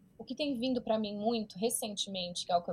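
A woman talks at a very fast pace with ordinary pitch variation. Her voice is somewhat breathy. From Brazil, São Paulo. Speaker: entrepreneur and business coach. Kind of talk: interview.

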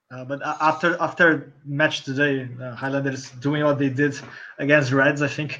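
Bright and sharp in tone, a man with a Portuguese accent speaks in a fairly high, monotone, flat voice with big swings in loudness. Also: moderate pace. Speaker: rugby journalist. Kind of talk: casual chat.

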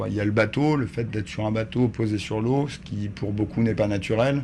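Here is a man with an ordinary speaking voice, fairly low in pitch. He moves at a fairly quick pace with ordinary pitch variation. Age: 30s. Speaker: volunteer ship captain. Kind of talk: sailing instruction and interview. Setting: aboard a sailing ship.

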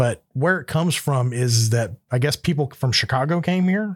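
A man with an American accent and an unremarkable speaking voice talks in a medium pitch at a moderate pace. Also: very clean recording, silent background. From US South, Florida Panhandle (Panama City). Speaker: podcast host, business owner. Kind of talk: casual chat.

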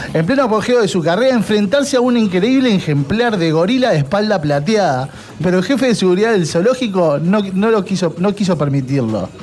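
A man speaks in a high pitch with lively intonation and very even loudness, hardly pausing at all. Noticeable background noise runs underneath. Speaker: radio host. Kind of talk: casual chat.

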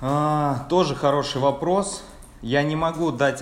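At a very slow pace, the speech carries audible room echo. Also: man. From Russia, Samara region (Tolyatti). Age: 20s. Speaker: sales department manager. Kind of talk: interview. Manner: halting.

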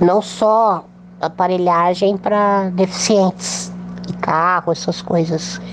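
A woman's fairly low, monotone, flat voice at a very slow pace, very even in loudness, amid noticeable background noise. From São Paulo state, Brazil. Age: 40s. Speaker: polio survivor and mouth painter. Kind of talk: interview testimony.

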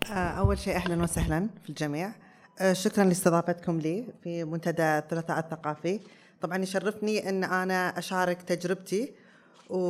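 A woman's ordinary speaking voice, fairly low in pitch, with fairly even intonation, in a very clean recording over a silent background. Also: moderate pace. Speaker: weightlifting athlete and gym owner. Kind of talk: panel talk before live audience. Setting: stage with audience.

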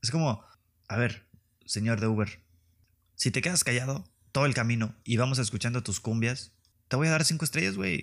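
With a slight northern Mexican accent, a man speaks at a moderate pace and medium pitch with ordinary pitch variation, on a very clean recording with a silent background. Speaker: podcast host. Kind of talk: comedic solo monologue. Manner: animated. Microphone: new microphone.

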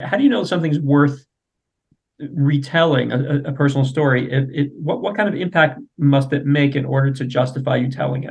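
The man's voice is fairly high and somewhat breathy. He talks at a fairly quick pace with fairly even intonation. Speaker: podcast host. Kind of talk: interview. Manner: halting.

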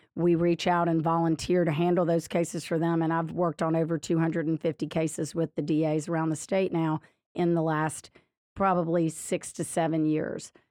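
A woman's fairly low, dark, mellow voice in a Louisiana accent, fairly quick and monotone, with very even loudness over a quiet background. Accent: Louisiana Southern. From Louisiana, Lafayette. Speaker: state solicitor general and political candidate. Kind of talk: interview.

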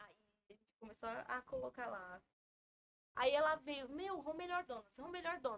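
Speaking fairly slowly in a high voice, a woman swings very widely in pitch and heavily in loudness, leaving long, frequent pauses. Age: 20s. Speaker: donut shop owner. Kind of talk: casual chat.

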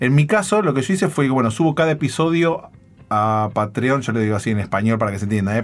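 A man talks at a fairly quick pace. He has an unremarkable speaking voice. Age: 40s. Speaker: internet entrepreneur and podcaster. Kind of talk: interview.

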